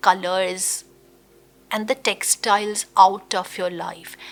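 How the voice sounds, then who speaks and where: A woman's warm tone at a very slow pace. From India, Gujarat. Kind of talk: interview answer. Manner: conversational, warm.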